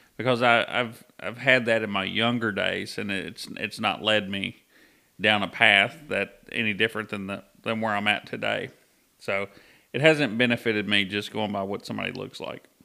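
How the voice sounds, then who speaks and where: A man with a fairly low pitch and a bright, sharp tone speaks at a moderate pace. His intonation stays fairly even on a very clean recording with a silent background. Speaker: podcast co-host. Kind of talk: casual chat.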